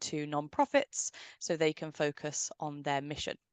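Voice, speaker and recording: A woman at a moderate pace, dry and close with no echo, against a quiet background. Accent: British. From United Kingdom. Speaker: software company representative. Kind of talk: webinar presentation. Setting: online webinar.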